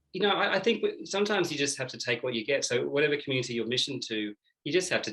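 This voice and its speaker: Spoken very fast with an Australian accent, the voice has a bright, sharp tone. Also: man. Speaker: Jesuit seminarian. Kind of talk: interview. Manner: hesitant, many fillers.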